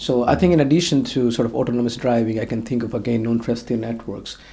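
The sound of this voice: Speaking at a fast pace, a man with a medium pitch and a dark, mellow tone keeps a fairly even intonation, with vocal fry in his voice.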